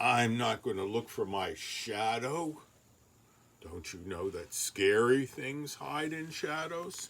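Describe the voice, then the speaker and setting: A man uses a put-on character voice that is rumbling and grumpy in tone, pitched at a medium level. His pitch swings very widely as he talks at a fairly slow pace. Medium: read story. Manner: grumpy, grumbling.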